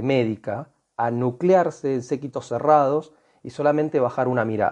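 Against a quiet background, a man with an ordinary speaking voice talks fairly slowly at a medium pitch with ordinary pitch variation. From Argentina. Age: 40s. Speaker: alternative health advocate. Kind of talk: online group discussion.

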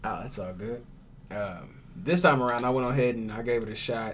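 A man with an American accent at medium pitch, fairly slow pace and ordinary pitch variation, amid audible room echo. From Tulsa, Oklahoma. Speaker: radio show host and actor. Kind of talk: casual chat.

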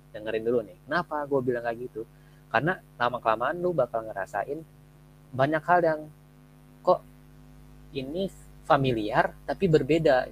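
With lively intonation and a medium pitch, a man talks at a moderate pace. His loudness swings widely, and his pauses are long and frequent. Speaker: university student podcast host. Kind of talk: casual chat. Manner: energetic.

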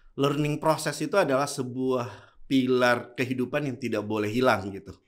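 His intonation is lively, and the man speaks at a moderate pace. His pitch sits in the medium range. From Indonesia, Bone (South Sulawesi), Bugis. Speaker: clothing store founder and entrepreneur. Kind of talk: casual interview.

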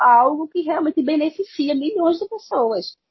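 Somewhat breathy, a woman speaks with a Pernambuco accent. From Pernambuco, Brazil. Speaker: podcast guest. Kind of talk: casual chat.

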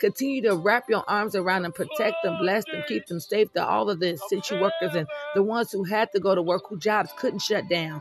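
Music plays in the background. A man with a high pitch talks at a fairly quick pace. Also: lively intonation. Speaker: prayer podcast host. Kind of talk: fervent prayer, pleading aloud to God with punctuating 'Hallelujah' and 'Father God'; devotional sermon-like encouragement. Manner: impassioned, rhythmic, repetitive, with emphatic praise-shouts.

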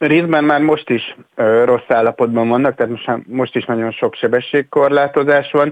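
Dry and close with no echo, a man with a fairly high pitch and an unremarkable speaking voice talks at a moderate pace with hardly any pauses, very even loudness and fairly even intonation. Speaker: mobility expert. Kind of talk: radio interview.

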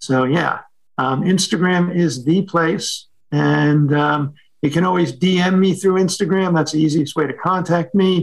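A man with an American accent speaks in a high pitch with ordinary pitch variation. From New York City. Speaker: photographer. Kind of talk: interview conversation.

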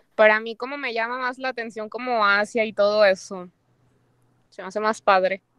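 A woman has a plain, everyday voice with a fairly high pitch and fairly even intonation. She keeps a moderate pace while her loudness swings widely. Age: 20s. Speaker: Instagram influencer and university student. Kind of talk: casual chat.

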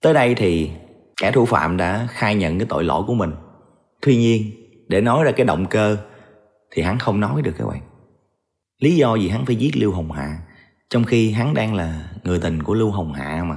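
A man's fairly low voice at a moderate pace, with lively intonation, long, frequent pauses and audible room echo. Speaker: true crime storyteller. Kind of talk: storytelling narration. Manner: casual conversational.

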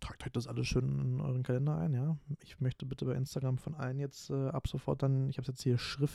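In a very clean recording with a silent background, a man speaks at a fairly quick pace with a dark, mellow tone. His voice is somewhat breathy and sounds dry and close, with no echo. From Berlin area, Germany. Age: 20s. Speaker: podcast host, student. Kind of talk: casual solo monologue. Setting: home recording at computer. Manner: talkative, frequent fillers. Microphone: new home podcast microphone.

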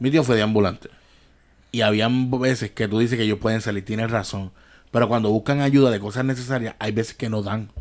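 Talking at a fairly quick pace with fairly even intonation, a man with an unremarkable speaking voice and medium pitch comes through a very clean recording with a silent background. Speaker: podcast host. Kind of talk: casual chat.

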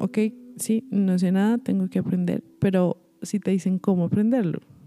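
The woman's pitch sits in the medium range, and the dry, close sound carries no echo, though noticeable background noise can be heard. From Colombia. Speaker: singer and vocal coach. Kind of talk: interview.

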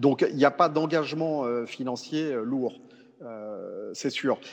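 Through noticeable background noise, a man speaks with a fairly high pitch and fairly even intonation. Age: 40s. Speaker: cycling coach. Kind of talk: interview. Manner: halting, many repetitions and fillers.

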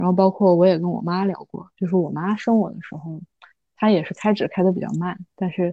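A woman speaks at a fairly quick pace with a medium pitch and fairly even intonation. Hers is a plain, everyday voice. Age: 20s. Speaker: new mother sharing birth experience. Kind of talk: casual interview chat.

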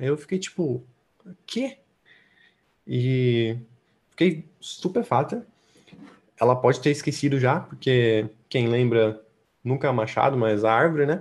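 Recorded very cleanly with a silent background, the speech moves at a fairly slow pace with long, frequent pauses and ordinary pitch variation. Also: man, medium pitch for a man. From São Paulo state, Brazil. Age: 20s. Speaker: artist and slam poet. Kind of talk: casual interview chat.

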